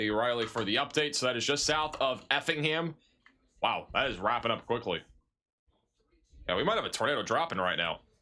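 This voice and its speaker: Lively in intonation and very even in loudness, a man's medium-pitched voice with a bright, sharp tone moves at a fairly quick pace broken by long, frequent pauses. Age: 20s. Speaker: meteorologist streaming live severe weather coverage. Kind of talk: live storm coverage stream. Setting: livestream with chat.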